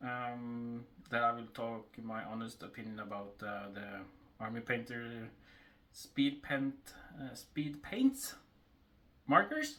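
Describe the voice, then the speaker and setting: At a very slow pace with long, frequent pauses, a man speaks at a medium pitch in a bright, sharp tone, with fairly even intonation and big swings in loudness. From Norway. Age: 30s. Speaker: miniature painter and gaming store co-owner. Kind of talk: casual talk to camera.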